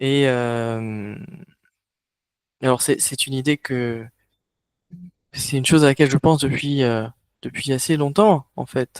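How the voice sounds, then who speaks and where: A man's fairly high voice at a fairly slow pace, dry and close with no echo. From France, Toulouse. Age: 30s. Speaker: online workshop facilitator. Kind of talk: online workshop presentation. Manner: halting, many hesitations.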